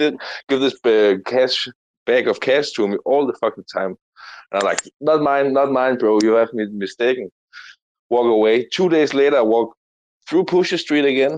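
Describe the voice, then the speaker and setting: Against a quiet background, a man speaks in a normal speaking voice at a medium pitch, with a dry, close sound with no echo. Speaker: crypto community member. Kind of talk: casual chat. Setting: online audio room.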